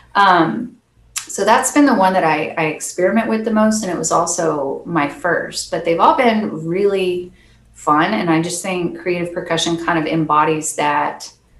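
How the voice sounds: A woman with a fairly low voice speaks at a moderate pace with ordinary pitch variation, and the room echo is audible.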